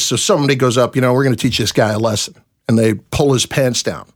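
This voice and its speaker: A man with an American accent talks at a fairly quick pace in a medium pitch, with ordinary pitch variation and very even loudness. It is a plain, everyday voice. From New Jersey. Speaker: sports radio and TV host. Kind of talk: casual interview.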